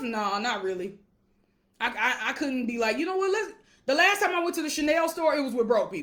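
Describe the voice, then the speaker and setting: Loud and animated, a woman talks at a fairly quick pace in a high pitch with a bright, sharp tone and very wide pitch swings. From Alabama, US South. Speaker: wealth coach. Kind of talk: casual livestream monologue. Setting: live video stream.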